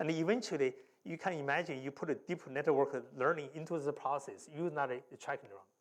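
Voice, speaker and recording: In a Chinese accent, a man speaks at a fairly high pitch. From China. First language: Mandarin Chinese. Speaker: professor. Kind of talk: lecture.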